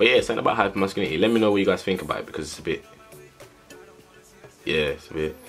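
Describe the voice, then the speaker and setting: Faint music plays in the background as a man talks at a very fast pace. His speech is broken by long, frequent pauses. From England, UK. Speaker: vlogger. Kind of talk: casual vlog talk to camera. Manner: casual, chatty. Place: home room. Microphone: phone near.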